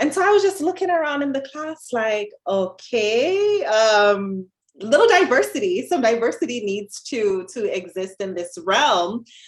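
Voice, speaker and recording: Using a Jamaican accent, a woman with a fairly high pitch speaks at a fairly slow pace, her pitch swinging very widely. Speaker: dietitian. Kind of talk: podcast interview.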